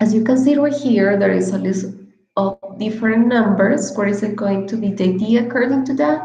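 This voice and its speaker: A woman speaks at a moderate pace with a Spanish accent. Her pitch is fairly high, and the room echo is audible. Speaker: English teacher. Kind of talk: online lecture.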